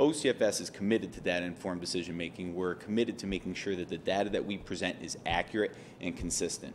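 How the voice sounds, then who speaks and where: Very fast and with hardly any pauses, a man speaks in a very deep, low voice. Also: ordinary pitch variation. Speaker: state agency quality assurance director. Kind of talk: conference presentation.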